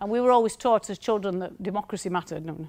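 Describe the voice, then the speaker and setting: A woman speaks at a very fast pace with a strong northern English accent, her pitch medium and her intonation fairly even. The recording is very clean, with a silent background. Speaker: university lecturer. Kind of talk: conference talk.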